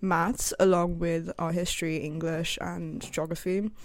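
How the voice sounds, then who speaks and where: Recorded very cleanly against a silent background, a woman talks at a moderate pace. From China. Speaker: student podcast co-host. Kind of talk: casual chat.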